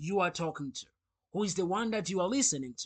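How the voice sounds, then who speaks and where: Against a quiet background, a man with a Rwandan accent speaks with lively intonation. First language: Kinyarwanda. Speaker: English teacher. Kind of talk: sales pitch.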